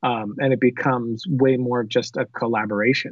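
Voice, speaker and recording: A man talks in a normal speaking voice at medium pitch. His intonation is fairly even. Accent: American. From South Florida. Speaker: filmmaker and online video creator. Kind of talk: casual interview chat. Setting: remote call.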